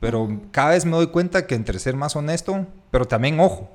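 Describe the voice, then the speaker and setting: A man speaks in a normal speaking voice with lively intonation at a moderate pace, recorded very cleanly against a silent background. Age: 30s. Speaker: podcast host, architect. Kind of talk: casual chat.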